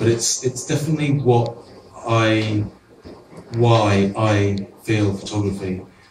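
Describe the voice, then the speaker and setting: A man with a Welsh accent, with audible room echo and noticeable background noise. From Wales. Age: 40s. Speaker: photographer. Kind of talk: artist talk. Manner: halting; fast.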